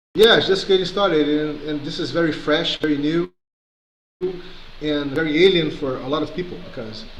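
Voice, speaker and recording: With audible room echo, a man talks at a moderate pace in a fairly high pitch. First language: not English. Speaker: community organizer. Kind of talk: video call discussion. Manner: halting.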